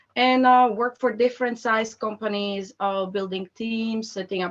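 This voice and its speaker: A woman is talking at a fairly slow pace. Her intonation stays fairly even. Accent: Slovak. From Slovakia. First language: Slovak. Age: 30s. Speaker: employer branding expert. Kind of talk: online presentation. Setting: video call.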